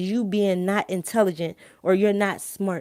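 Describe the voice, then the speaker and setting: With a strong Philadelphia accent and an animated tone, a woman speaks at a moderate pace and medium pitch in a dry, close sound with no echo on a very clean recording with a silent background. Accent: thick Philadelphia. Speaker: live-stream host. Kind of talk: casual live-stream monologue.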